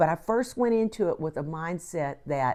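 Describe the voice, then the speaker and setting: Over a very clean recording with a silent background, a woman with an unremarkable speaking voice and fairly low pitch talks with lively intonation. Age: 60s. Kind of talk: casual talk to camera.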